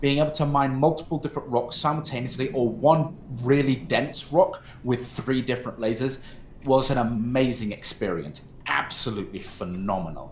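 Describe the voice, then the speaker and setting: A man with a medium-pitched, somewhat breathy voice talks at a moderate pace with ordinary pitch variation. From English Midlands, Mansfield, Nottinghamshire; later Norfolk. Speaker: gaming streamer. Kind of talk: casual chat.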